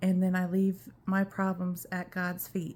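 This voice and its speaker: Her voice sits at a medium pitch. There is a somewhat breathy quality to it. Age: 50s. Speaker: cancer patient vlogger. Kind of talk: personal vlog update. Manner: halting.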